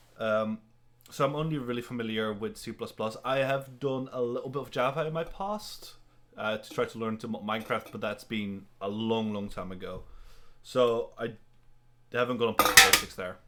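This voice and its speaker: A man's bright, sharp tone at medium pitch, with ordinary pitch variation, a moderate pace and big swings in loudness, on a very clean recording with a silent background. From Netherlands. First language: Dutch. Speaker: game programming student and live streamer. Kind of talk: live coding stream, casual. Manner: hesitant, many fillers and restarts.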